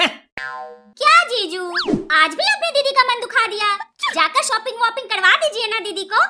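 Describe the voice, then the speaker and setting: This is a cartoonish character voice from a woman. Her pitch is extremely high and her intonation lively. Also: fairly slow pace. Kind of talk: comic cartoon acting. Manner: sweet, coaxing.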